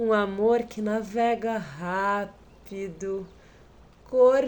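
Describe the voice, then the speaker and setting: Amid audible room echo, a woman with a São Paulo accent speaks very slowly at medium pitch with ordinary pitch variation. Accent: São Paulo Brazilian. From Brazil, São Paulo. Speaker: documentary participant. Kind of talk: poetic narration.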